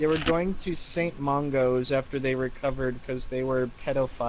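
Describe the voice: Reading aloud, plainly done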